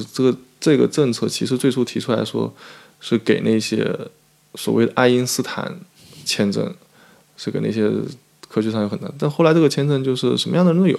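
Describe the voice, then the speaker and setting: Medium-pitched male speech at a fairly quick pace, broken by long, frequent pauses, with ordinary pitch variation. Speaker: PhD student and immigration researcher. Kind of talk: interview. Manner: frequent fillers and hesitations.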